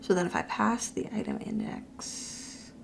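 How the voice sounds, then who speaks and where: A woman whispers, and room echo is audible. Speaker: coding teacher. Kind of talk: live coding tutorial. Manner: halting, thinking aloud.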